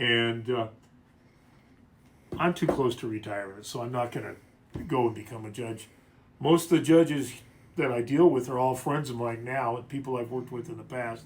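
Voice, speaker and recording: A somewhat breathy man speaks at a moderate pace and medium pitch, with ordinary pitch variation, big swings in loudness and long, frequent pauses. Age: 60s. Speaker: attorney. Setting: livestream from a law office.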